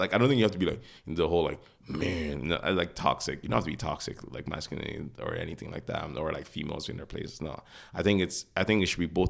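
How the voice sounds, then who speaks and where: A man's very deep, low voice with vocal fry at a very fast pace. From Nigeria. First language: not English. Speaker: podcast co-host. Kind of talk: casual chat. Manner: halting, many fillers.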